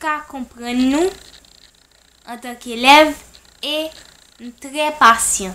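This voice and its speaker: The voice is raised and projected, with ordinary pitch variation. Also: woman. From Haiti. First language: Haitian Creole and French (speaking French). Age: 20s. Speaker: language tutor. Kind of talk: self-introduction video.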